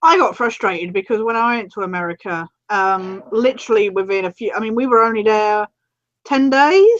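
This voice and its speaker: Dry, close recording with no echo of a woman with an English accent, fairly high pitch and ordinary pitch variation. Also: moderate pace. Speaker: video chat co-host. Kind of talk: casual chat.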